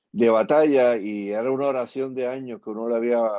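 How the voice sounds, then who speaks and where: An unremarkable speaking voice comes through at a moderate pace. The intonation is fairly even. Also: man. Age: 60s. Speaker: pastor and activist. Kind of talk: interview.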